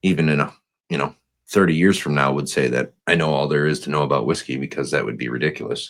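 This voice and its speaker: A man with a Wisconsin accent speaks very fast at a very deep, low pitch with vocal fry. His intonation stays fairly even. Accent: Upper Midwest (Wisconsin) accent, noticeable. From northern Wisconsin. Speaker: new podcast co-host, whiskey enthusiast. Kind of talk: casual chat. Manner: halting, many fillers.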